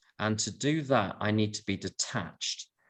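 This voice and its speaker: A man with a London accent speaks at a fairly low pitch with ordinary pitch variation. The background is quiet. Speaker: AA speaker. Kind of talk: talk to recovery meeting. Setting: video call.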